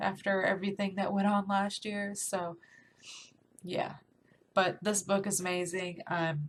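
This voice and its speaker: A woman's somewhat breathy voice at a fairly slow pace, flat and monotone, with long, frequent pauses. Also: medium pitch for a woman. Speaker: book reviewer. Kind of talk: casual talk to camera.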